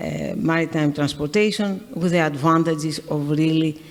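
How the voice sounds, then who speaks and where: A woman with a Greek accent speaks at a very deep, low pitch and fairly even intonation. Noticeable background noise and audible room echo are present. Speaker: shipping company executive. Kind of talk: on-stage interview. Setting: stage with audience. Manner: halting.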